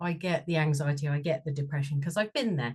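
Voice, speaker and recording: A woman's somewhat breathy voice with a slight Bristol accent. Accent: slight Bristol twang. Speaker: sound and shamanic healing therapist. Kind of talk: interview.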